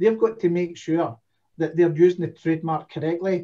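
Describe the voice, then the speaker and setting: A man with a Scottish accent talks at a fairly quick pace with fairly even intonation. His voice is high in pitch, with a dark, mellow tone. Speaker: domain investor. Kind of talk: casual chat.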